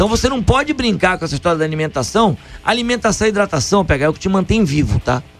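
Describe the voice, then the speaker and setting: Over noticeable background noise, a man with a high pitch talks very fast, his pitch swinging very widely. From Rio de Janeiro state, Brazil (Niterói). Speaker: running coach. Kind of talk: radio interview.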